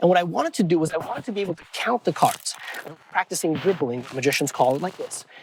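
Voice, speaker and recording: Very fast speech with lively intonation, noticeable background noise and a dry, close sound with no echo. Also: man. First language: not English. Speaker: magician. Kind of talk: magic demonstration and explanation. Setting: on camera with a host.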